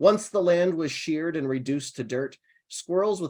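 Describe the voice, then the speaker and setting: A man with an American accent speaks at a moderate pace in a normal speaking voice, his intonation lively against a quiet background. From Ohio. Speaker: poet. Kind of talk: poetry reading; casual chat.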